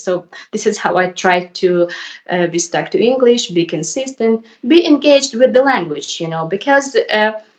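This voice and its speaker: Lively intonation marks this fairly slow delivery in a Ukrainian accent. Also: woman. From Ukraine. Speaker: YouTuber learning English. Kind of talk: casual conversation. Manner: hesitant.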